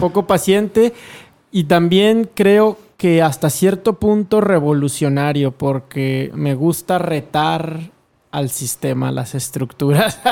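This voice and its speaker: The man's voice sits fairly high. He talks very slowly with ordinary pitch variation. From Mexico, Durango. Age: 30s. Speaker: entrepreneur and motivational speaker. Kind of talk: casual interview.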